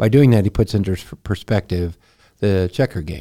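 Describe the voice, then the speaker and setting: Speaking with an American accent, a man has a plain, everyday voice. His intonation is lively. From Texas. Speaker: pastor. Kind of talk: casual chat.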